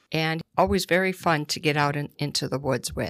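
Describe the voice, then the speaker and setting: A woman speaks at a very deep, low pitch. Her pace is fairly slow. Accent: northeastern Pennsylvania. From northeastern Pennsylvania, Scranton. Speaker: executive director of a trail nonprofit. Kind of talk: radio interview. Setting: studio.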